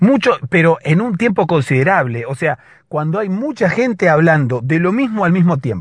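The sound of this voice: At a moderate pace, a man speaks with a fairly high pitch and big pitch swings. His voice has a slightly husky edge.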